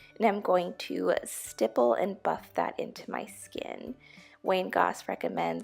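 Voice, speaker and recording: A woman talks at a fairly slow pace with music playing in the background. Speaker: beauty YouTuber. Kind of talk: makeup tutorial voiceover.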